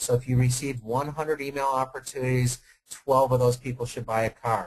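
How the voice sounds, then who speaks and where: This man talks at a fairly quick pace with a medium pitch and a somewhat breathy sound. His intonation is monotone and flat. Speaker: automotive sales consultant. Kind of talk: webinar Q&A answer. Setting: online webinar. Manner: fast.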